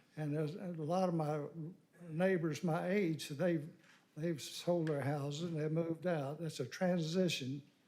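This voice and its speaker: Heard with audible room echo, a man with a dark, mellow tone and fairly high pitch talks at a fairly slow pace with fairly even intonation. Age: 80s+. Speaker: local resident giving public comment. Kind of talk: public comment at council meeting. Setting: city council chamber.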